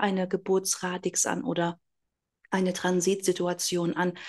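A woman with an ordinary speaking voice talks at a medium pitch against a quiet background. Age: 40s. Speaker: astrologer. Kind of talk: interview.

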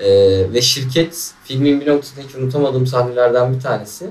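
Noticeable background noise sits behind this recording. A man talks at a moderate pace with a medium pitch. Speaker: podcast host. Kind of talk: casual chat.

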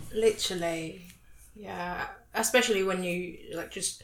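A woman's fairly low voice at a fairly slow pace, with fairly even intonation over noticeable background noise. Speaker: podcast guest. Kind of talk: casual chat. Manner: chatty.

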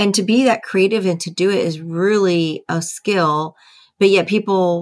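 A woman with an American accent uses a normal speaking voice and fairly even intonation in a very clean recording with a silent background. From US Midwest, rural Ohio. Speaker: stand-up comedian and retired army officer. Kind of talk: interview.

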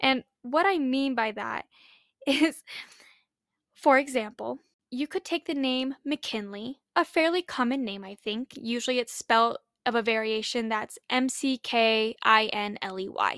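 A woman with an American accent, high-pitched and fairly slow, with ordinary pitch variation, in a dry, close, echo-free and very clean recording with a silent background. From Utah, US. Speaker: podcast host. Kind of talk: casual solo podcast monologue. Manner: chatty, sincere, laughs often.

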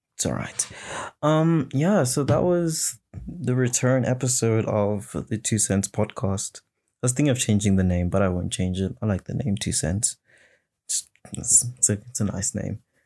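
The recording is very clean, with a silent background. A man talks at a moderate pace and medium pitch, his tone dark and mellow and his intonation lively. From South Africa. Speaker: solo podcast host. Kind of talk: casual solo monologue. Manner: halting, many fillers and restarts.

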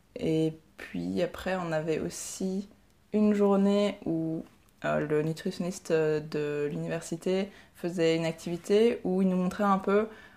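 In a fairly low, dark, mellow voice, a woman speaks at a very slow pace with fairly even intonation. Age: 20s. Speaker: physiotherapy student and ninja warrior competitor. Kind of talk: interview.

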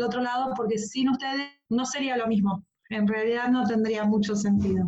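This woman talks at a fairly quick pace with fairly even intonation. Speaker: radio host. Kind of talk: radio talk show.

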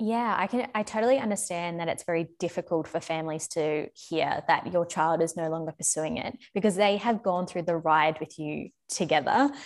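With hardly any pauses, a woman speaks at a moderate pace in a fairly low pitch. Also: ordinary pitch variation. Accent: Australian. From Australia. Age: young. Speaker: former ballet dancer. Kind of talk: casual chat.

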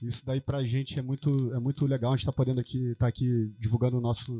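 A man talks at a very fast pace with hardly any pauses, in a dark, mellow, somewhat breathy tone at a medium pitch. His intonation stays fairly even, and the sound is dry and close with no echo. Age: 40s. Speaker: bassist. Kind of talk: casual interview chat.

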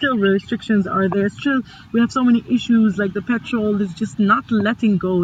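Somewhat breathy, a woman's medium-pitched voice moves at a moderate pace with ordinary pitch variation. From Sudan, raised in Middle East, Libya and Egypt. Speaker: digital storytelling curator and cultural manager. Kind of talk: casual chat.

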